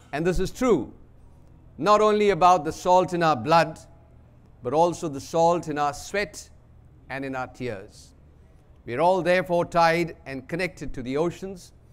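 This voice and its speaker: Moderate pace with long, frequent pauses, big swings in loudness and ordinary pitch variation. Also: man, high pitch for a man. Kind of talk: keynote speech. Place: hall. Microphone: podium.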